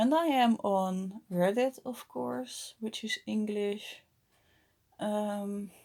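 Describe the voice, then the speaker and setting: At a very slow pace, a woman speaks with a dark, mellow tone at medium pitch and ordinary pitch variation. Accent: Dutch. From Netherlands. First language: Dutch. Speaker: vlogger. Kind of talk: casual vlog monologue. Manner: halting, many fillers.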